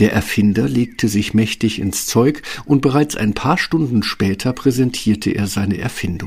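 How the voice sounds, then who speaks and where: A man of medium pitch, somewhat breathy, speaks at a moderate pace with lively intonation. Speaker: fairy tale narrator. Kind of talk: fairy tale narration, scripted storytelling. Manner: animated storyteller, expressive, mimicking sounds like 'Brrr'.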